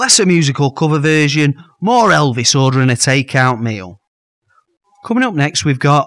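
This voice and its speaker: A man with an unremarkable speaking voice talks at a moderate pace with lively intonation. His pitch is fairly high and his loudness very even. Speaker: radio host. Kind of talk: radio dj patter, tongue-in-cheek comedy banter. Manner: playful, mock-earnest.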